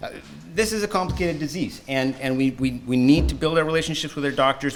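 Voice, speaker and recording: A man with a strong Canadian accent, medium pitch, lively intonation and a very fast pace, with music in the background. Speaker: patient advocate and former swim coach. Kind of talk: conference presentation.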